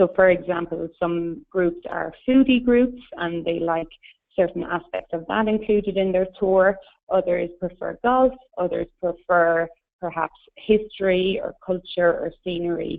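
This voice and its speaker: Speech in an Irish accent at a moderate pace, with ordinary pitch variation. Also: woman. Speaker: tour company representative. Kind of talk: webinar presentation. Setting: webinar.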